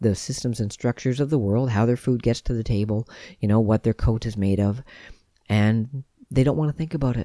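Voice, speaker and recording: Soft-spoken and calm, a man speaks at a moderate pace in a medium pitch with a dark, mellow tone, recorded dry and close with no echo and a silent background. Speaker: podcast host on veganism and self-awareness. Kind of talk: solo talk, reflective monologue. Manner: soft-spoken, calm.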